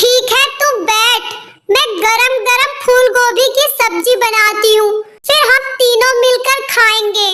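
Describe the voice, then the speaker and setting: A woman's cartoonish character voice, extremely high-pitched, fairly slow, with fairly even intonation. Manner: warm, motherly.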